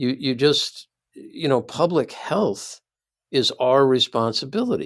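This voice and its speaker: The speaker has a Midwestern accent. The pace is fairly slow. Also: man. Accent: American Midwest. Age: 60s. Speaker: philosophy professor. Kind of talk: casual chat.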